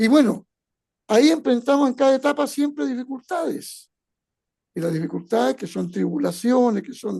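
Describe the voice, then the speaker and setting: A man speaks at a moderate pace with an extremely high pitch and very wide pitch swings. His tone is dark and mellow, and his loudness rises and falls sharply. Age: 70s. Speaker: retired educator. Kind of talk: motivational talk.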